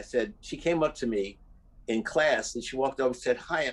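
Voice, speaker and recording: A normal speaking voice from a man, moderate in pace. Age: 60s. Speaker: musician and producer. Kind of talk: casual chat.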